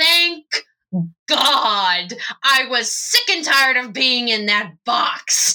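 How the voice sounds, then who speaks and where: A female-sounding voice puts on a gruff character voice at a fairly high pitch. The delivery is very slow. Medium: actual play. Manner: irritated, sarcastic.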